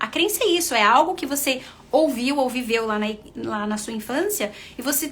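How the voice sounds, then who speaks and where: A woman with a Brazilian accent, animated in tone, with lively intonation at a fairly quick pace. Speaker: nurse and confidence coach. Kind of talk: live stream talk.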